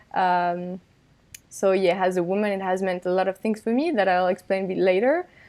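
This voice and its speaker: With a French accent, this woman speaks at a medium pitch and with fairly even intonation. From France. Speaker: finance professional. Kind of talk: casual interview.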